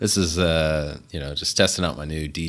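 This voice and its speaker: With vocal fry and a very deep, low pitch, a man speaks at a moderate pace with fairly even intonation. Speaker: gaming podcast co-host. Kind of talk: casual chat.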